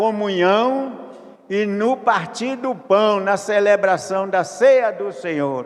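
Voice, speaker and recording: With noticeable background noise behind him, a man speaks at a very slow pace in a high pitch with lively intonation. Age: 80s+. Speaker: pastor. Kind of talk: sermon. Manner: repetitive, halting.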